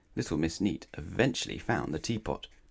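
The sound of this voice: A man's voice with vocal fry and a slightly husky edge.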